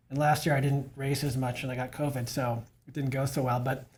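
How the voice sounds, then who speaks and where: Somewhat breathy, this man has a fairly high pitch. He talks at a moderate pace. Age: 60s. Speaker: masters bike racer and cycling coach. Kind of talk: casual podcast conversation.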